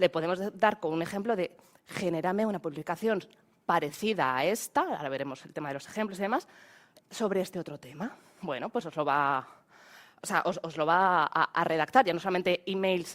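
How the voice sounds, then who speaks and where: A woman talks with lively intonation, long, frequent pauses and big swings in loudness. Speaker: AI trainer. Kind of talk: webinar presentation. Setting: online webinar. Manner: fast; halting.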